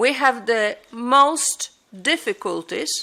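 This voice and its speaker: A woman with a Polish accent speaks in a high voice with a bright, sharp tone. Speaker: air traffic controllers' union representative. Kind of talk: conference talk. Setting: conference with audience. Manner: halting.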